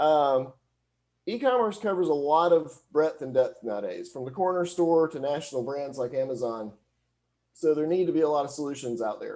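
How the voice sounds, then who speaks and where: With a Southern US accent, a man speaks in a fairly high pitch, with a dark, mellow tone and lively intonation, against a quiet background. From US South (Alabama). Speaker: hosting company employee, e-commerce consultant. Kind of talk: presentation. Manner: fast.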